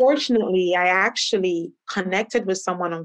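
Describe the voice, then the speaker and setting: An unremarkable speaking voice belongs to this woman, pitched at a medium level. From Canada. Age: 30s. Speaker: tech professional and travel startup founder. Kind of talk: interview.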